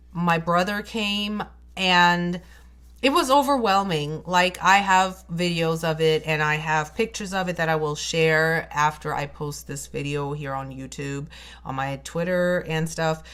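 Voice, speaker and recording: In a non-native accent, the speaker proceeds at a fairly slow pace. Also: woman, fairly low pitch for a woman, ordinary pitch variation. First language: not English. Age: 30s. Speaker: beauty vlogger. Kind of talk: storytime vlog.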